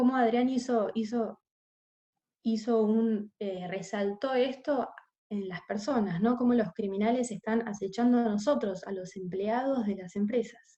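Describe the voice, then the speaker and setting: A woman talks at a fairly slow pace. Her pitch is fairly high and her intonation fairly even. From Argentina. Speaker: corporate investigations specialist, webinar panelist. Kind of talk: webinar presentation. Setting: online webinar. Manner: hesitant, many filler sounds.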